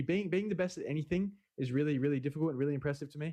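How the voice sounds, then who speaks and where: Very fast speech with an Australian accent and ordinary pitch variation. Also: man. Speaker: esports player. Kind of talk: interview. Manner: halting.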